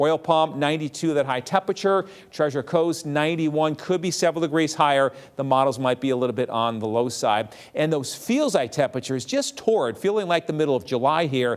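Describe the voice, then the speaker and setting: A man with a plain, everyday voice, fairly high in pitch and fairly quick, with ordinary pitch variation. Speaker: TV weather forecaster. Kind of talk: TV weather forecast.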